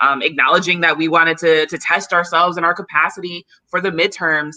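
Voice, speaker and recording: The tone is bright and sharp, with monotone, flat intonation. The delivery moves at a fairly quick pace. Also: woman, fairly low pitch for a woman. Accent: American. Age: 30s. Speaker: community organizer. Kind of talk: interview.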